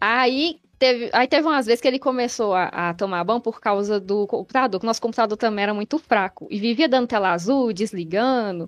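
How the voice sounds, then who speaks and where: A woman with an ordinary speaking voice, fairly high in pitch with ordinary pitch variation, at a fairly quick pace with hardly any pauses, in a dry, close sound with no echo and a quiet background. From Brazil, Minas Gerais (Betim, Belo Horizonte area). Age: 20s. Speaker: gamer. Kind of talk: casual interview. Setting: live stream.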